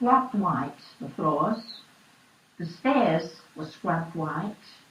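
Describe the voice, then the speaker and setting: Amid noticeable background noise and audible room echo, a woman talks very slowly in a fairly low voice with very wide pitch swings. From East London. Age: 80s+. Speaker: oral history interviewee. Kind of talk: oral history interview.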